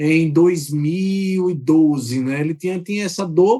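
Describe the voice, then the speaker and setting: This man has a high-pitched voice. His tone is dark and mellow. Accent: Sergipe. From Brazil, Aracaju, Sergipe (Northeast). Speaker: software company executive. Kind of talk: podcast interview.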